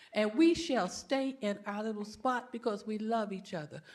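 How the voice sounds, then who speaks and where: Speech comes at a fairly slow pace with ordinary pitch variation, and audible room echo surrounds it. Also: woman. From Miami Gardens area, Florida. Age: 70s. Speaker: resident speaking at public comment. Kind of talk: public comment speech. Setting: city council meeting.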